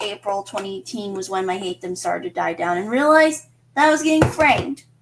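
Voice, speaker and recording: With lively intonation, a woman talks at a fairly high pitch in an unremarkable speaking voice. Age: 20s. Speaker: streamer. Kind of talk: casual livestream monologue.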